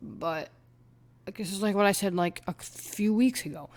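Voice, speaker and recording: On a very clean recording with a silent background, a woman speaks at medium pitch and a moderate pace. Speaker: sports YouTuber. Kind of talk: casual monologue commentary. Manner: hesitant, many fillers.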